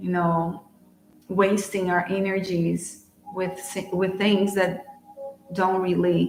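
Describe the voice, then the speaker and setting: A woman's very slow, medium-pitched speech with a Portuguese accent, music in the background and audible room echo. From Brazil. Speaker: spiritual channeler and card reader. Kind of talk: live-streamed oracle card reading. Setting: live stream.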